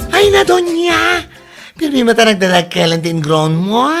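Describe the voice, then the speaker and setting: A put-on character voice with a fairly high pitch and very wide pitch swings moves at a moderate pace over clear music in the background. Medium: short film. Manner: lively, chatty.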